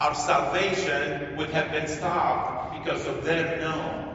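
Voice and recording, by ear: Speaking slowly with fairly even intonation, a man with a fairly high voice is heard through strong room echo and clear background noise.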